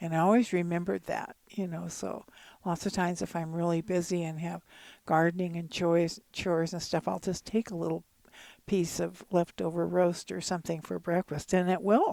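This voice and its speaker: Her American accent comes through a dark, mellow tone at a fairly low pitch for a woman, with fairly even intonation on a very clean recording with a silent background. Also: moderate pace. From California. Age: 80s+. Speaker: grandmother and gardener. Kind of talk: casual chat.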